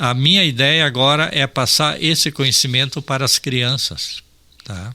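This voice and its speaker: At a fairly slow pace, a man with a medium pitch and ordinary pitch variation speaks in a bright, sharp tone with vocal fry. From Rio Grande do Sul, Brazil (Ijuí). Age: 60s. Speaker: environmentalist and farmer. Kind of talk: radio interview. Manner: casual, with frequent fillers (tá, assim ó).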